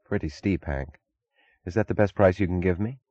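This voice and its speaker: With a calm tone and vocal fry, a man speaks at a very deep, low pitch yet with lively intonation, recorded dry and close with no echo. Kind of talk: audiobook narration of a novel, reading dialogue aloud.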